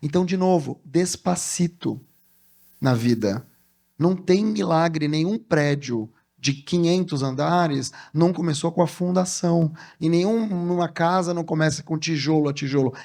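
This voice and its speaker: On a very clean recording with a silent background, a man with a dark, mellow tone and high pitch speaks at a fairly slow pace with ordinary pitch variation. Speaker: communication strategist and speaker. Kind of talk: motivational talk. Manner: animated.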